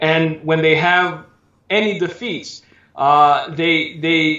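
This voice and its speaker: A man with an American accent speaks with a high pitch. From Southern California. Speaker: preacher. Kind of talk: interview.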